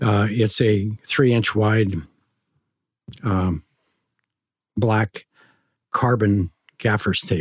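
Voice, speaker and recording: Speaking very slowly with long, frequent pauses, a man with an American accent has a fairly low pitch, a somewhat breathy voice, very even loudness and fairly even intonation. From US Mountain West, Montana. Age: 70s. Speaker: health author and grounding advocate. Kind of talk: interview.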